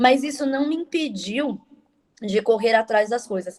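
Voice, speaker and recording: A woman with an unremarkable speaking voice talks at a moderate pace. Her pitch varies in an ordinary way. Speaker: nutritionist. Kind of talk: online talk.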